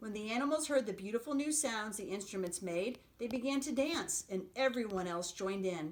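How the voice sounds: The intonation is lively, delivered in a natural reading voice.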